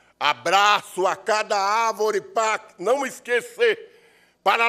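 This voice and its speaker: In a quiet background, a man uses a raised, projected voice with a bright, sharp tone and a solemn tone, speaking at a very slow pace. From Sergipe, Brazil. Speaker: actor, writer and poet. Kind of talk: performed poem, declaimed with solemn oratorical gravity at an award ceremony. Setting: ceremony in legislative assembly. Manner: solemn, impassioned, rhythmic and incantatory delivery, like a ritual invocation. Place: hall. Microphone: podium.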